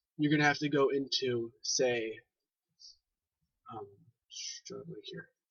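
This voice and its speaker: A man's speech with big swings in loudness and long, frequent pauses. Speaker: Roblox scripting tutorial maker. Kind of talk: tutorial. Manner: fast; halting at times.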